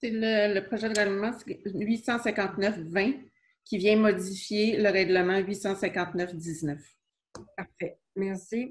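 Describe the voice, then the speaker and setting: A woman speaks at a very slow pace with a medium pitch. Her voice is somewhat breathy and her intonation fairly even. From Quebec. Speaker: city clerk; council meeting chair or clerk. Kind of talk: municipal council meeting. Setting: closed-door council chamber. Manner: formal. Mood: calm, formal. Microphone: video call.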